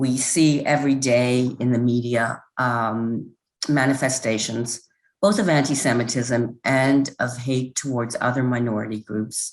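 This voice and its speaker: Speaking at a fairly slow pace, the woman has a very deep, low-pitched voice. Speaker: presenter on antisemitism. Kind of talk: presentation. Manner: informal, hesitant.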